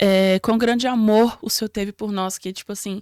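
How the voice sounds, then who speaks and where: A woman speaks at a moderate pace with a fairly high pitch and fairly even intonation. The sound is dry and close, with no echo. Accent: slight non-native. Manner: hesitant, many fillers.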